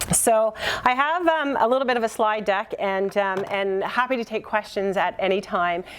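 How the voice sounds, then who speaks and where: Noticeable background noise sits behind the speaker. A woman with a Canadian accent talks at a moderate pace. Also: ordinary pitch variation. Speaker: keynote speaker, workforce research centre representative. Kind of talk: conference presentation.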